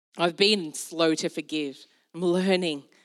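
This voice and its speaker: A woman's fairly low voice with an Australian accent and fairly even intonation, very cleanly recorded over a silent background. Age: 40s. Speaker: pastor. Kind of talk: sermon. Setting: church.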